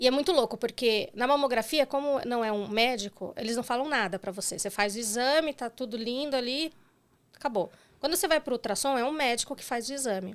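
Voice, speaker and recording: A woman talks at a fairly quick pace. Her pitch is high, with ordinary pitch variation. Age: 40s. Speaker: breast cancer survivor. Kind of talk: interview testimony. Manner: halting.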